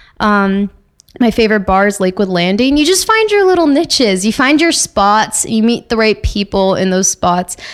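Pitched fairly high, a woman speaks at a moderate pace with lively intonation and very even loudness. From Toronto, Canada. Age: 20s. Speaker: record store worker and music and film reporter. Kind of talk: casual interview chat. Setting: podcast recorded and streamed live. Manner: chatty.

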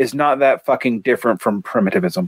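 A man with an American accent is heard dry and close with no echo, on a very clean recording with a silent background. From US South. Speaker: political theory podcast co-host. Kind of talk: casual discussion and reading aloud of a text.

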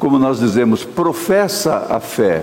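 A man speaks at a fairly slow pace with a fairly high pitch that swings very widely. Audible room echo and noticeable background noise surround him. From Brazil, Minas Gerais (born), raised São Paulo area. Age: old. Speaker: pastor. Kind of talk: sermon. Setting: church.

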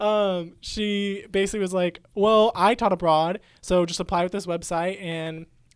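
At a moderate pace, a man talks with a high pitch. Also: fairly even intonation. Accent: Midwestern. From California Central Valley. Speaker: graduating student. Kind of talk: casual chat.

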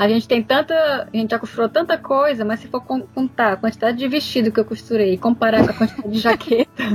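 Over noticeable background noise, a woman with a fairly high pitch and ordinary pitch variation rattles along at a very fast pace with hardly any pauses. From Brazil, Fortaleza (Ceará). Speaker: sewing teacher and youtuber. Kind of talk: casual chat.

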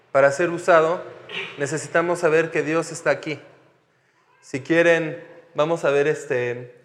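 Audible room echo accompanies fairly slow speech. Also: man. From France (Paris). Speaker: missionary pastor. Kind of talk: sermon.

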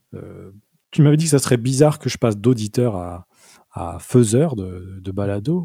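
His voice is a dark, mellow one at medium pitch, somewhat breathy, with lively intonation and big swings in loudness from this man. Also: moderate pace. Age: 40s. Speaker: podcast co-host and sound engineer. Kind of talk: casual chat.

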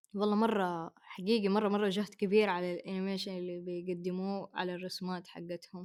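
At a moderate pace and with hardly any pauses, a woman with a Hejazi accent speaks in a medium pitch with monotone, flat intonation. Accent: Hejazi Saudi Arabic. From Saudi Arabia, Hejaz (Mecca/Jeddah). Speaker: podcast co-host. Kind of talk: casual chat.

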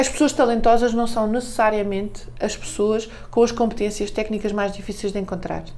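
Amid noticeable background noise and audible room echo, a woman with a fairly high pitch talks at a moderate pace in a flat monotone, hardly pausing at all. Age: 40s. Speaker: marketing director and author. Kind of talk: radio interview.

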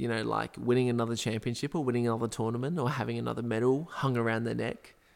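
A man with an Australian accent at medium pitch, fairly quick pace and fairly even intonation, on a very clean recording with a silent background. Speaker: football podcast co-host. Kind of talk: casual chat.

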